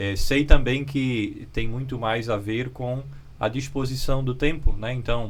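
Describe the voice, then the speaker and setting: The room echo is audible. A man speaks fairly slowly at a medium pitch with fairly even intonation. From Brazil, Santa Catarina (Luiz Alves). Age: 30s. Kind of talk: interview.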